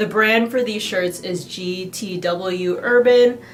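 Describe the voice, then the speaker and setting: Noticeable background noise sits behind the voice. A woman with an American accent speaks with fairly even intonation. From US Pacific Northwest, Seattle. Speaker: lifestyle vlogger. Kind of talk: haul video review.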